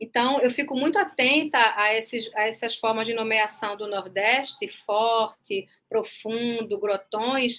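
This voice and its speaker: In a northeastern Brazilian accent, a woman speaks at a very slow pace with hardly any pauses. Her tone is bright and sharp, fairly high in pitch, with fairly even intonation. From Brazil, Northeast (Recife). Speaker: journalism professor and author. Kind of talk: online panel discussion.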